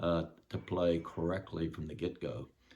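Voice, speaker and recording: This man has an American accent and a very deep, low pitch. He speaks at a fairly slow pace. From Texas, San Antonio. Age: 70s. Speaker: guitar student. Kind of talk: testimony. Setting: video call. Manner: halting, many fillers.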